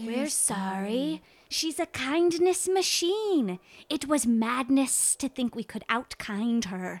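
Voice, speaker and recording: A female-sounding voice puts on a character voice at a high pitch. The pace is very slow. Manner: rambling, apologetic.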